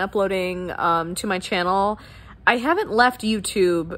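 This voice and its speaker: Lively intonation from a woman at a fairly slow pace. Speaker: fitness vlogger. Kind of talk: casual vlog chat. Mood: warm, chatty. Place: home room. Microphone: phone near.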